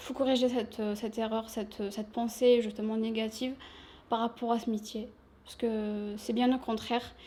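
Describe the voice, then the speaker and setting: Somewhat breathy with a dark, mellow tone, a woman speaks at a moderate pace in a fairly high pitch with monotone, flat intonation. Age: 20s. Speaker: shop sales assistant. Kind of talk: interview.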